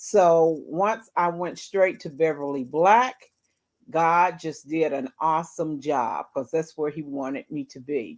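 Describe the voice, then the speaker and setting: A woman with a Southern US accent speaks at a very slow pace, her fairly low voice lively in intonation. The background is quiet. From US South, North Carolina. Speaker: cooking content creator. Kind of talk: interview. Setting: livestream.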